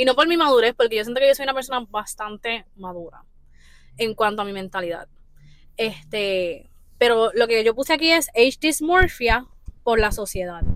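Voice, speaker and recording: This woman uses an ordinary speaking voice, pitched fairly high, with lively intonation at a moderate pace. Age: 20s. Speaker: podcast host. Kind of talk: casual chat.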